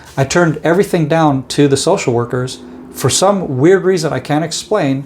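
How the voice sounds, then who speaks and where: A man talks fairly quickly, with background noise clearly noticeable. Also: fairly high pitch for a man, ordinary pitch variation. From Israel. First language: Hebrew. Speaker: security professional and podcaster. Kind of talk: casual interview, telling life story. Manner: halting, many fillers and repeats.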